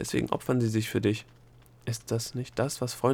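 Simply plain reading aloud

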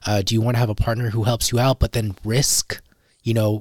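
The voice is somewhat breathy and moves at a moderate pace, with a dry, close sound and no echo. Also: man. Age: 30s. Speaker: podcast host. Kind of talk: casual interview.

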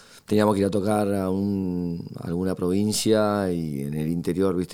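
Noticeable noise sits in the background. The delivery moves at a moderate pace with fairly even intonation. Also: man. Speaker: guitarist. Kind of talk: interview. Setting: studio. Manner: hesitant, many fillers.

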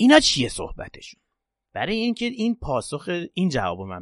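The speaker is a man. The background is quiet. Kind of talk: religious podcast talk with prayers.

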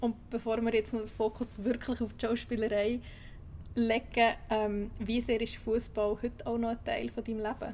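A woman's fairly high voice in a Swiss accent, at a moderate pace, with monotone, flat intonation. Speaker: podcast host. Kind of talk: scripted intro; interview.

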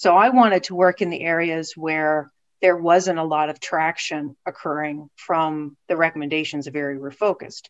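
An American accent colors a woman's fairly low voice. She speaks at a moderate pace with fairly even intonation against a quiet background. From West Virginia. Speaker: city planning director. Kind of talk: interview. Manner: halting.

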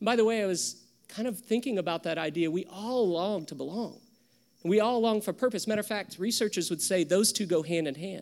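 In a very clean recording with a silent background, a man with an American accent talks at a fairly quick pace in a high voice. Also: ordinary pitch variation. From US South. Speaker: pastor. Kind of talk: sermon.

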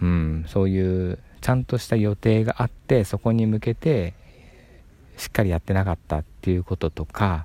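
Relaxed and dark, mellow in tone, a man speaks at a moderate pace with a very deep, low pitch, in a dry, close sound with no echo. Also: ordinary pitch variation. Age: 30s. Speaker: YouTuber and tidying advisor. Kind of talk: casual monologue. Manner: relaxed, with frequent fillers.

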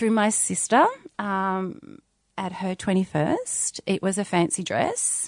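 Speaking very slowly in an Australian accent, a woman uses a medium pitch with ordinary pitch variation, in a dry, close sound with no echo. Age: 40s. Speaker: doula and mother. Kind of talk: casual chat.

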